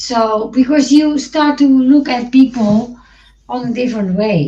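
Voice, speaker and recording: Very slowly and with fairly even intonation, a woman speaks in a high pitch and a dark, mellow tone, with a Dutch accent. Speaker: podcast co-host. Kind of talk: casual chat. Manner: halting, many false starts.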